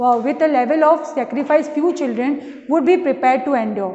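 A woman speaks at a fairly quick pace with an Indian accent. Her pitch is high. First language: Hindi. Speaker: school English teacher. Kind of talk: lecture. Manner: reads textbook passages aloud with explanations. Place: classroom. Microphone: camera far.

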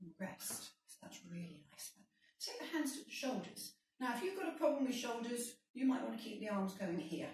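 Amid light background noise and audible room echo, a woman speaks at a moderate pace with big swings in loudness. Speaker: fitness instructor. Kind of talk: exercise class instruction. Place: kitchen. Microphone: camera far.

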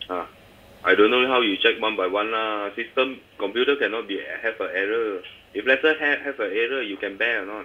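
The speaker is a man with a Malaysian accent. He talks at a fairly quick pace. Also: ordinary pitch variation. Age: old. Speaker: credit card holder complaining. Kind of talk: phone call with bank staff. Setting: phone line. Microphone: phone line.

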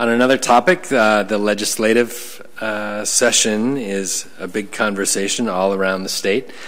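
Fairly low in pitch with fairly even intonation, a man speaks in an ordinary speaking voice. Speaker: school superintendent. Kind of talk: formal report at public meeting. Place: meeting room. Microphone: podium.

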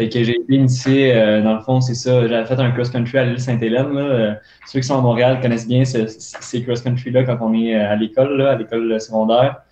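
A man at a fairly quick pace, monotone and flat, with audible room echo and light background noise. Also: medium pitch for a man. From Montreal. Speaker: elite runner; guest. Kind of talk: casual interview. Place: home room. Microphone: earbuds.

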